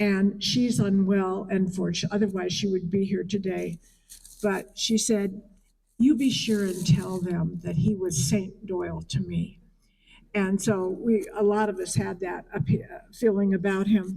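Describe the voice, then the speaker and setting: Speaking fairly slowly at a medium pitch, a woman has a dark, mellow, somewhat breathy tone and fairly even intonation. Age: 80s+. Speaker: memorial speaker, friend of the deceased. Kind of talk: eulogy. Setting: memorial service.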